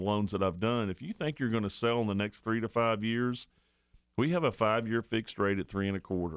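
Pitched fairly low with ordinary pitch variation, a man talks in a normal speaking voice. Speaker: radio show host. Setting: radio studio. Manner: warm, folksy and chatty, easygoing with filler words, upbeat sign-offs and catchphrases; brisk and repetitive when reading rates and the call-in number.

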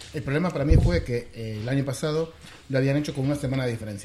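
Noticeable background noise under a man with a medium pitch, a very fast pace and ordinary pitch variation. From Argentina, Buenos Aires. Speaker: software developer. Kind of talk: casual chat.

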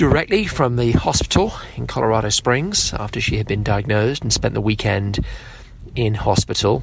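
A man with an English accent speaks at a moderate pace amid noticeable background noise. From England. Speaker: podcast host, father of diabetic child. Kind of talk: interview.

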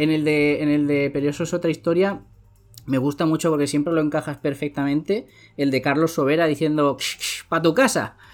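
Someone talks at a fairly quick pace over music in the background. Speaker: podcast host. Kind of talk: casual interview chat.

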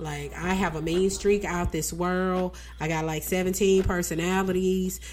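Over music in the background, a woman with a Southern US accent speaks fairly slowly at a fairly low pitch in a monotone, flat intonation. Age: 40s. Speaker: radio host. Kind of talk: radio DJ patter, chatty and casual. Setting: live radio show studio.

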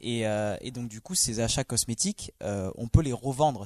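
A man with an unremarkable speaking voice talks at a moderate pace in a medium pitch with ordinary pitch variation, the sound dry and close with no echo. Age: 20s. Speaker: logistics worker, video game guest. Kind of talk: casual chat.

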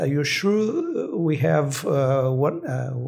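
Somewhat breathy, a man's fairly high voice comes through. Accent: Brazilian. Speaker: neuroscientist professor. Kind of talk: interview answers, explanatory. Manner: halting, hesitant with fillers.

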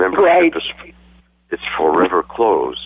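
A man's voice over noticeable background noise. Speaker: marathon runner. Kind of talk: casual interview. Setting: phone call.

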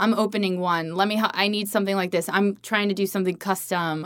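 A woman with an American accent at a very fast pace, in a very clean recording with a silent background. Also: hardly any pauses. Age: 30s. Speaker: entrepreneur and former chef. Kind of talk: interview. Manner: animated.

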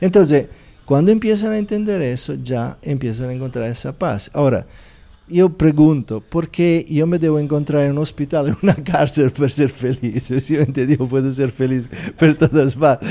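A man with an Italian accent speaks at a moderate pace in a dark, mellow tone, with a fairly high pitch and ordinary pitch variation. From Italy. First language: Italian (speaking Spanish). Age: 60s. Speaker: meditation teacher. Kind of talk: interview.

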